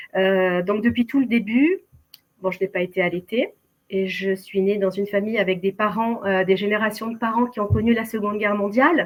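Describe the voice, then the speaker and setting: A woman with a medium-pitched voice talks at a moderate tempo. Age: 60s. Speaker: keto dieter sharing her story. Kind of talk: testimony. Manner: hesitant, many fillers.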